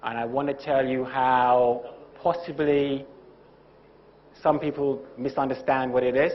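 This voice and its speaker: There is audible room echo around this man's voice. He speaks at medium pitch in a flat monotone. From UK. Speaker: lecturer, former TV presenter. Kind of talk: lecture.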